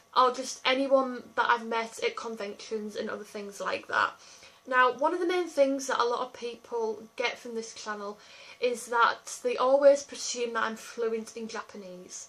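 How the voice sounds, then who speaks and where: Speaking in an English accent at a moderate pace, a woman uses a high pitch with ordinary pitch variation and big swings in loudness over noticeable background noise. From England. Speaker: YouTuber. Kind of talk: casual chat.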